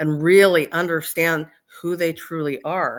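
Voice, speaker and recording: A woman speaks in a plain, everyday voice. Her pitch sits fairly low and her pace is moderate. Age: 60s. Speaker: medium. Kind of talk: casual chat.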